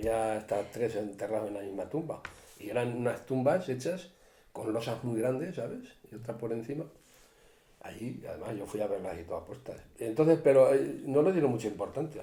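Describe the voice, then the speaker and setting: Audible room echo surrounds a man's somewhat breathy, medium-pitched voice. His tone is dark and mellow, and his pace is moderate. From Spain, Cuenca province (rural Castile-La Mancha). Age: 60s. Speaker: retired forest worker, local elder. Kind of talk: interview, casual reminiscing. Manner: animated, overlapping talk.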